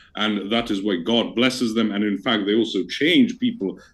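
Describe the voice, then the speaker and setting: A man with a Received Pronunciation accent and fairly low pitch. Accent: received pronunciation, sounds near-native. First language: not English. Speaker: debater. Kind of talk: debate. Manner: formal.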